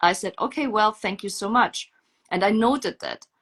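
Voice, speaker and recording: A woman with a non-native accent speaks at a moderate pace with ordinary pitch variation, in a dry, close sound with no echo. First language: not English. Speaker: mother telling her story. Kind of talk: testimony.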